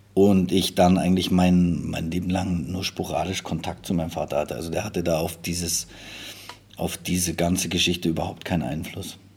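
A man speaks at a very deep, low pitch. His intonation is monotone and flat. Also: moderate pace. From Munich, Bavaria. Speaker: football assistant coach. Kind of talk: interview. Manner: halting.

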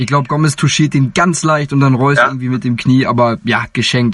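This man's voice sits fairly high, with ordinary pitch variation. His pace is very fast. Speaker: sports podcast host. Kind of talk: casual chat. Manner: animated.

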